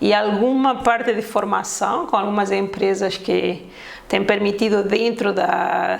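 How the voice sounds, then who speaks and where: A woman's voice with a Spanish accent, plus audible room echo and noticeable background noise. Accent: Spanish-sounding accent in Portuguese. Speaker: ISO consultant and auditor. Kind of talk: casual interview.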